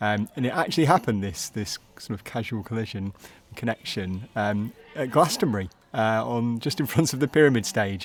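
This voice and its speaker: Speaking in a Manchester accent, a man talks with lively intonation. His pitch is medium and his pace fairly quick. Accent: Manchester-area English. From northern England, Altrincham. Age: 40s. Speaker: charity chief executive. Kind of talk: casual interview.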